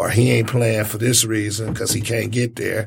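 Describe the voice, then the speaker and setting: This man talks at a medium pitch. His voice is somewhat breathy. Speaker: sports talk co-host. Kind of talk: casual sports talk. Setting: studio.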